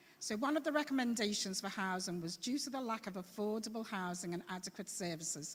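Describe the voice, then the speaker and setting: In a Scouse accent, the speech comes very fast with hardly any pauses. It is somewhat breathy with lively intonation. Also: woman, medium pitch for a woman. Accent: Liverpool (Scouse), still present. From Liverpool. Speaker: citizens' assembly member. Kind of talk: presentation at council meeting. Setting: council chamber meeting.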